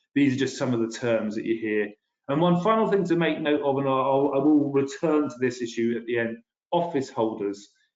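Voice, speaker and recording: A man speaks with a British accent. His pace is fairly quick and his intonation lively. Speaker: policy director presenting a webinar. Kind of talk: webinar presentation. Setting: video webinar. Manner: fast; hesitant, with fillers and restarts.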